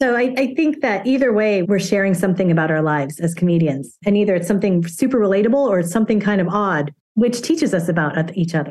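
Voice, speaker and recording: Very fast and with hardly any pauses, a woman speaks at a medium pitch with lively intonation and very even loudness. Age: 50s. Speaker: acupuncturist and stand-up comedian. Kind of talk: casual interview. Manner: humorous, laughs often.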